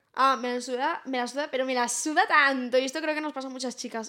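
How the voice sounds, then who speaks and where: A woman's raised, projected, high-pitched voice at a fairly quick pace, with fairly even intonation over noticeable background noise. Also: hardly any pauses. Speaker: podcast co-host. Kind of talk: casual chat.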